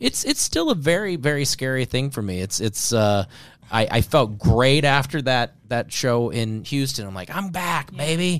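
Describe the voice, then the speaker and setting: A man with a normal speaking voice talks at a moderate pace and medium pitch with lively intonation, in a very clean recording with a silent background. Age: 40s. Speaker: comedian. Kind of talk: casual chat.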